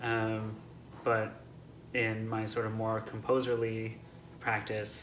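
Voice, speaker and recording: Soft-spoken and very slow, a man talks amid audible room echo. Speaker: composer. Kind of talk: interview answers. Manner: halting, many fillers and restarts.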